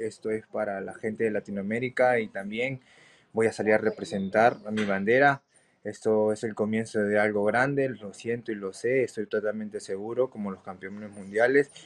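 At a moderate pace, a man speaks in a fairly low pitch with fairly even intonation. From Peru. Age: 20s. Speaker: MMA fighter; interviewee. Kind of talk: interview; interview answer. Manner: halting. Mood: confident, determined. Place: home room. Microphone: video call.

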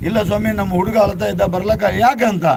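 There is noticeable background noise in this clip. Over it, a man talks. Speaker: local storyteller. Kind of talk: oral storytelling.

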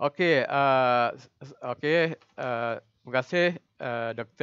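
A man talks in a fairly high-pitched voice with ordinary pitch variation. The recording is dry and close, with no echo. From Terengganu, Malaysia. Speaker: lecturer, workshop trainer. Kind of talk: online workshop facilitation. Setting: video call. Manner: hesitant, many fillers.

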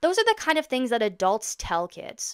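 A woman with a Canadian accent at a fairly quick pace, against a quiet background. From Ontario, Canada. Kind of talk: casual vlog monologue. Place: home room. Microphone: studio mic.

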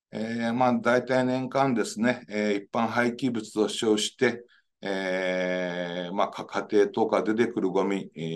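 A man speaks with ordinary pitch variation. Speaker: engineering professor. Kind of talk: lecture. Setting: video call. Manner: formal. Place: office. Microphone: webcam.

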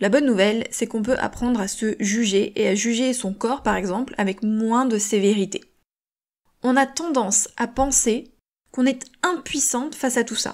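A woman speaks in a plain, everyday voice at a moderate pace. Her pitch is fairly high with ordinary variation, on a very clean recording with a silent background. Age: 30s. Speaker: podcast host and author. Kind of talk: motivational solo podcast talk.

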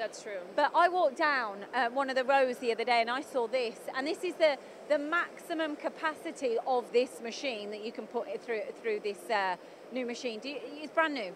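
The recording is dry with no echo, and light background noise is present. A woman talks with a high pitch. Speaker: trade show host interviewer. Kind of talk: interview questions and commentary. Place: hall. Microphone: handheld.

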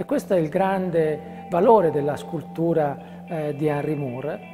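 Clear music plays in the background while a man speaks at a fairly slow pace. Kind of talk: interview answer. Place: hall.

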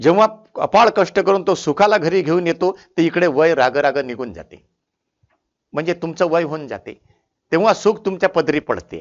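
A man speaks at a high pitch with ordinary pitch variation. His loudness swings widely. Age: 70s. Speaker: motivational speaker. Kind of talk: motivational talk.

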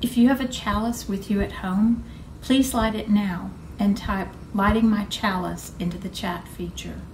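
A woman's fairly even intonation and moderate pace come through over light background noise. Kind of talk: liturgical reading. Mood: calm, solemn. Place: home room.

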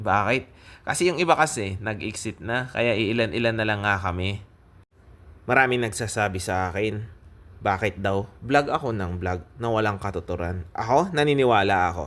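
A man in an unremarkable speaking voice, fairly low in pitch, at a moderate pace with lively intonation. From Philippines. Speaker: vlogger, overseas Filipino worker; vlogger. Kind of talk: casual vlog talk to camera. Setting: restaurant. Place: cafe. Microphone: phone near.

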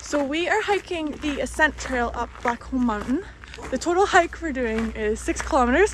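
Delivered at a moderate pace, the speech has a dry sound with no echo and light background noise. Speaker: vlogger. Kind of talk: casual vlog chat. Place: open country. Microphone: phone near.

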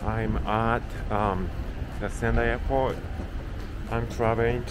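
Very slowly, a man talks while noticeable background noise fills the recording. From Japan. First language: Japanese. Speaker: travel vlogger. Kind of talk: casual talk to camera. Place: street. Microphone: phone near.

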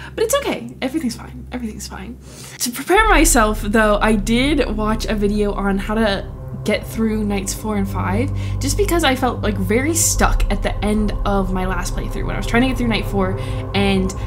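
With music in the background, a woman speaks at a moderate pace. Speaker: gaming streamer. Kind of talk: casual gameplay commentary. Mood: nervous, playful. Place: home room.

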